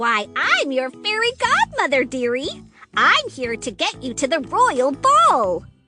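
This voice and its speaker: In a cartoonish character voice, a female-sounding voice with a high pitch speaks at a fairly slow pace while faint music plays in the background. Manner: sweet, calls people dearie.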